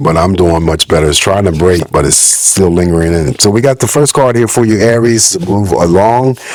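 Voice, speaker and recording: A man speaks at a very deep, low pitch. Noticeable background noise runs behind him. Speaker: tarot reader. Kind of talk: tarot reading. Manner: casual.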